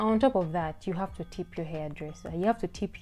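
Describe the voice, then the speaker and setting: The speaker talks fairly quickly while music plays behind the voice. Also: woman. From Uganda. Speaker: YouTuber. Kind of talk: casual vlog monologue.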